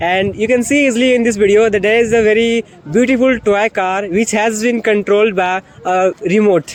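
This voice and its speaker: With an Indian accent, a man speaks at a moderate pace in a high pitch with fairly even intonation over noticeable background noise. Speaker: English-learning vlogger. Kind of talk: casual travel vlog talk to camera.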